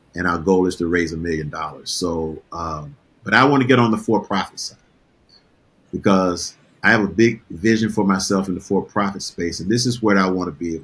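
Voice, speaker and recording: A man with a very deep, low pitch talks at a fairly quick pace, his loudness swinging widely. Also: ordinary pitch variation. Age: 60s. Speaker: retired pastor. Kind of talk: interview.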